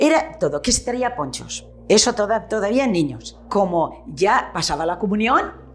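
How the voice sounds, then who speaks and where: The woman's intonation is lively, and music plays behind her. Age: 70s. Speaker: retired shopkeeper. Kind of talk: oral history interview.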